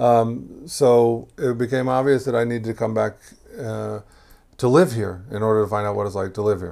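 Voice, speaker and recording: A man in a plain, everyday voice speaks with an American accent at a moderate pace, medium pitch and ordinary pitch variation, on a very clean recording with a silent background. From Texas, Houston. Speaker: immigrant to Israel, former program worker. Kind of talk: interview, life story. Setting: at his home.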